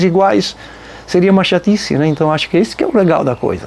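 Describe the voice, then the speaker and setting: Amid noticeable background noise, a man with a high pitch and a strong Santa Catarina accent talks at a very fast pace. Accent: strong local Nova Trento. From Nova Trento, Santa Catarina, Brazil. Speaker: folk band musician. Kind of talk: documentary interview. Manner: casual, conversational.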